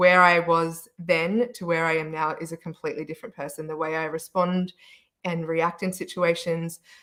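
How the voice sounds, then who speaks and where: With an Australian accent, a woman speaks at a fairly low pitch in a bright, sharp tone and monotone, flat intonation, on a very clean recording with a silent background. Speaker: panelist, wellness business owner. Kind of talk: panel discussion.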